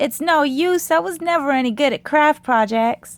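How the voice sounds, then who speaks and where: Moderate pace in a put-on character voice. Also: woman, high pitch for a woman. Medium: read story. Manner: bright, expressive.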